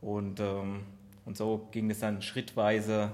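A man's medium-pitched voice in a flat monotone. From Aschaffenburg area, Germany. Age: 30s. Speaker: amateur runner, IT worker. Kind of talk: casual chat.

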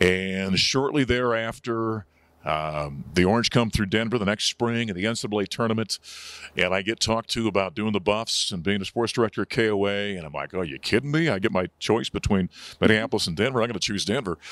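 A man's unremarkable speaking voice with an American accent, fairly low in pitch, at a fairly quick pace with ordinary pitch variation, in a very clean recording with a silent background and a dry, close sound with no echo. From North Dakota, US. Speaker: sports radio broadcaster. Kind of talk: casual interview.

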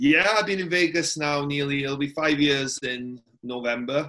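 A man with an American accent talks at a fairly slow pace, his fairly high pitch paired with a bright, sharp tone and ordinary pitch variation. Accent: Welsh with slight American twang. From Wales. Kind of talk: casual chat.

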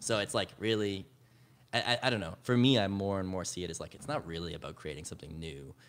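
The speaker talks very fast with a Canadian accent and lively intonation. Loudness swings widely. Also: man, fairly low pitch for a man. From Canada, Edmonton, Alberta. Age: 20s. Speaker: musician. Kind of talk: casual chat. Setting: studio.

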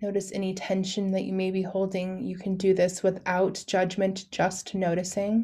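Against a silent background on a very clean recording, a woman with a medium pitch and a dark, mellow, somewhat breathy tone speaks in a monotone, flat intonation with hardly any pauses. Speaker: doula and podcast host. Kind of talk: guided meditation; casual solo podcast talk. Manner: soft, slow, soothing.

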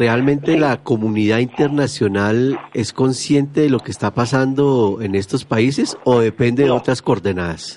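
A man speaks at a moderate pace in a medium pitch with ordinary pitch variation, hardly any pauses and an ordinary speaking voice. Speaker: radio host. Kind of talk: radio talk show.

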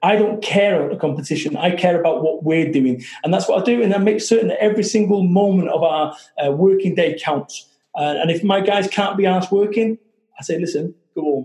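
The speaker has a Manchester accent and a fairly quick pace. Pitch variation is ordinary. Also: man, high pitch for a man. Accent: Mancunian northern English. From Salford, Manchester, northern England. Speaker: motivational speaker and business founder. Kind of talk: interview. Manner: animated.

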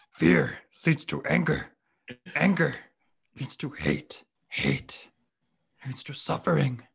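With long, frequent pauses, this raspy put-on character voice holds a low-to-middle pitch at a fairly slow pace. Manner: wise, solemn.

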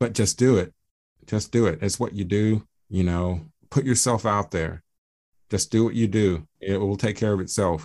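Over a quiet background, a man with an American accent talks at a moderate pace in a plain, everyday voice with a fairly low pitch. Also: ordinary pitch variation. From Atlanta, Georgia, US South. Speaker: reggae musician. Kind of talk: casual interview. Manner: relaxed, many fillers.

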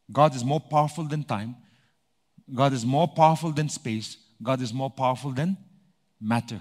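In an animated tone, the speaker moves at a moderate pace with ordinary pitch variation and long, frequent pauses, on a very clean recording with a silent background. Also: man, medium pitch for a man. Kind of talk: sermon. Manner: animated, rhythmic call-and-response preaching, driving each point home with repetition; pausing to ask the congregation for amens.

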